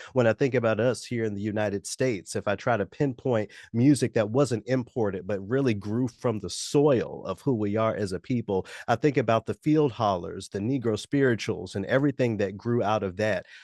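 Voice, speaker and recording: Fairly quick and with hardly any pauses, a man with an American accent talks in an unremarkable speaking voice at medium pitch, with ordinary pitch variation. The sound is dry and close with no echo, over a quiet background. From US South, Memphis. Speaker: musician and radio announcer. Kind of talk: interview. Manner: measured, with frequent fillers.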